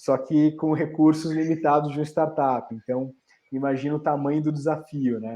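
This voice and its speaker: A man with a dark, mellow tone at a fairly slow pace. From Brazil, São Paulo and Recife (Pernambuco). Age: 30s. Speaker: startup founder. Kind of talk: interview on a panel.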